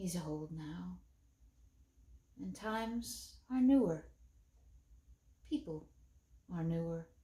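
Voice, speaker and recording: A woman puts on a wheezy character voice with a fairly low pitch and a weary tone. She goes at a very slow pace, with long, frequent pauses and big swings in loudness. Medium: read story. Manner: weary, slow.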